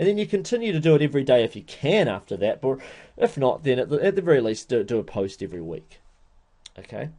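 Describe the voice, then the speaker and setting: A man's fairly high, dark, mellow voice with very wide pitch swings and vocal fry. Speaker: internet marketing webinar presenter. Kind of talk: webinar tutorial. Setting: online webinar. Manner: hesitant, many fillers; slow, detailed delivery.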